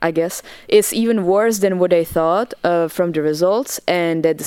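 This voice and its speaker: With a Czech accent, a woman speaks at a fairly slow pace in a fairly low voice with ordinary pitch variation. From Czech Republic. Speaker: dancer. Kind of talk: casual chat. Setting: studio.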